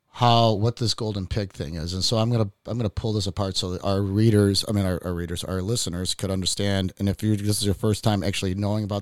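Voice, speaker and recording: Speaking very fast in a flat monotone with a Chicago accent, a man with a fairly low pitch comes through dry and close with no echo, in a very clean recording with a silent background. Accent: Chicago American English. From Chicago, US. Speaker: podcast host. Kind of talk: casual chat. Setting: studio.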